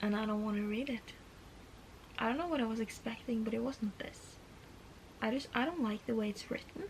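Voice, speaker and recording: With a Norwegian accent, a woman speaks at very even loudness and ordinary pitch variation, leaving long, frequent pauses over noticeable background noise. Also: fairly high pitch for a woman, fairly quick pace. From Norway. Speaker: book vlogger. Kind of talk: casual vlog talk to camera.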